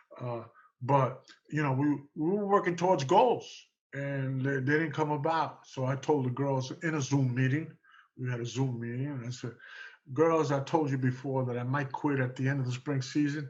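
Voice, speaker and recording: A somewhat breathy man with a New York accent talks at a fairly high pitch with fairly even intonation. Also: moderate pace. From New York City (Manhattan, East Harlem). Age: 70s. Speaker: track and field coach. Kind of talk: radio interview.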